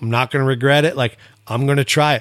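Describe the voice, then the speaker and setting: A man with an American accent and an ordinary speaking voice talks at a fairly quick pace and medium pitch, with fairly even intonation. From Montana. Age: 40s. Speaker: retired rodeo athlete. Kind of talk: casual chat.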